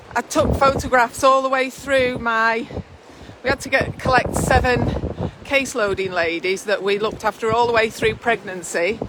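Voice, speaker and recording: A woman with a Lancashire accent, fairly high in pitch with ordinary variation, at a moderate pace over noticeable background noise. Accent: northern English (Lancashire). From northwest England. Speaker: midwife. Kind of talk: casual chat. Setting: outdoors.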